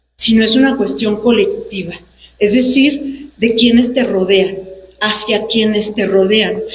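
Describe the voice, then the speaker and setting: A woman at a fairly slow pace, ordinary pitch variation, audible room echo around her. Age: 60s. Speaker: human rights defender, lawyer. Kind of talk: public speech at book presentation. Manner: formal.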